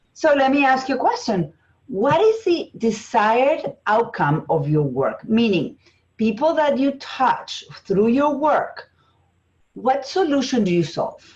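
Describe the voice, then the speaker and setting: At a fairly slow pace, a woman with an Argentine accent speaks at a high pitch with very wide pitch swings. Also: very even loudness. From Argentina. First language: Spanish. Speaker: business strategist and coach. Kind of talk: interview.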